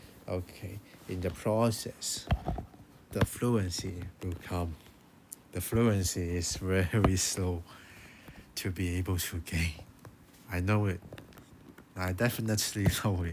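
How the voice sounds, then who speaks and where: Speaking with a Chinese accent, a man uses a very deep, low voice. He goes at a very slow pace with long, frequent pauses. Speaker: language learning youtuber. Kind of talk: tutorial. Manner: halting.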